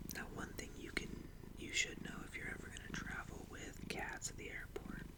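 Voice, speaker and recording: Someone whispers in a calm tone at a moderate pace against noticeable background noise. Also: man. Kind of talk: ASMR-style soft talking to camera. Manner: soft-spoken, calm.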